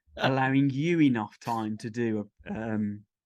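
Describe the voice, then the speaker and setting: With a Birmingham accent, a man speaks at a medium pitch. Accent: mild posh Brummie. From Birmingham, English Midlands. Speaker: podcast host. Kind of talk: casual interview chat.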